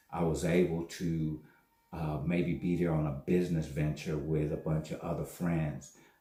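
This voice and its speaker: A man speaks at a moderate pace in a very deep, low voice, his tone dark and mellow and his intonation flat and monotone. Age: 60s. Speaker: vlogger, network marketer. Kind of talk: casual monologue vlog. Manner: halting.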